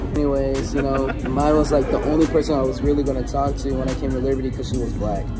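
Clear music plays behind a man who talks at a very fast pace with hardly any pauses. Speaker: vlogger. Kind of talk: casual vlog chat. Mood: playful, joking. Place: cafe. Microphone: phone near.

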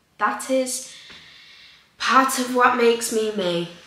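The voice moves at a very slow pace with ordinary pitch variation and audible room echo. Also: woman. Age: young. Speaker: content creator. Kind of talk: casual Q&A vlog. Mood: relaxed, chatty. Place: home room.

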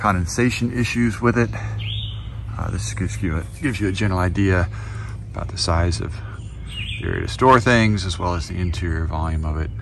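The speech moves at a fairly quick pace with a dry sound that has no echo. Noticeable background noise is present. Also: man, very deep, low pitch for a man. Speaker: gear owner reviewing tents. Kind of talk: casual gear overview. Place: forest. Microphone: phone near.

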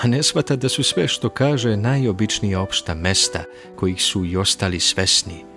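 A man talks with lively intonation in a fairly low pitch. Music plays in the background. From Serbia. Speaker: radio announcer. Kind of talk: prose reading. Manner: calm, composed.

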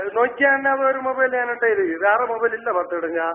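A man's extremely high-pitched voice with lively intonation. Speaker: prank caller. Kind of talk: prank phone call. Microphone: phone line.

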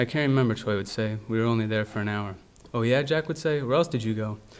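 Pitch varies in an ordinary way for this man. He speaks at a very fast pace. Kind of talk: literary reading. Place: hall. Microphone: podium.

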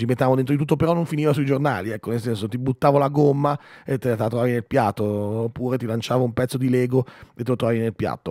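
With a dark, mellow tone and medium pitch, a man speaks at a very fast pace in a dry recording with no echo and a quiet background. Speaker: radio host. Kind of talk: casual chat. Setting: studio. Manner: animated. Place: studio. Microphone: studio mic.

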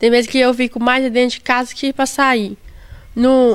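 A woman's high voice at a fairly slow pace. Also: quiet background. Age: 20s. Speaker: kidney patient. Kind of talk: interview testimony. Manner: halting. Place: garden. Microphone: handheld.

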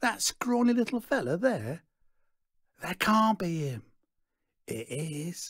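A man's put-on character voice, high and fairly bright with a slightly husky edge, big pitch swings and a slow pace. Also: very clean recording, silent background.

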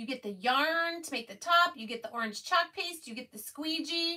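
Raised and projected, a woman's voice has a bright, sharp tone and lively intonation. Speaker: craft livestream host. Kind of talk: casual livestream chat and product demo. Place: home room. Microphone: phone near.

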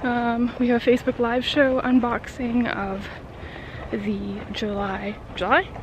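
The woman's voice is high-pitched, her pace fairly slow and her intonation fairly even. The sound is dry with no echo, though background noise is noticeable. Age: 30s. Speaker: vlogger, book subscription box staff; book vlogger. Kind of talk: casual vlog. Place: street. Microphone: earbuds.

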